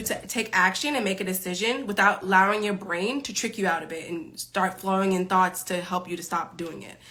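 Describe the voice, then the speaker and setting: A woman with a New York accent, medium pitch, ordinary pitch variation and an animated tone, talking at a very fast pace over noticeable background noise. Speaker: time management coach. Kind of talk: live stream Q&A.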